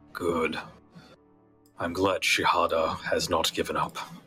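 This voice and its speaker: A man performs a put-on character voice that sounds raspy. Faint music plays in the background. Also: fairly slow pace. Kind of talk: fantasy game master voice. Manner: calm, aloof, faintly amused.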